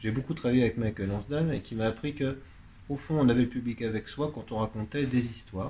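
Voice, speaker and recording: Man at medium pitch, somewhat breathy, dark and mellow, at a fairly quick pace with ordinary pitch variation. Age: 60s. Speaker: pianist and author. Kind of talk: radio interview.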